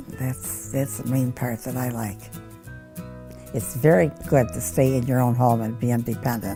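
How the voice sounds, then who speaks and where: Music plays in the background. A woman speaks with a very deep, low pitch and ordinary pitch variation. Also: moderate pace. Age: 80s+. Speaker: medication dispenser user. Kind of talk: interview answer.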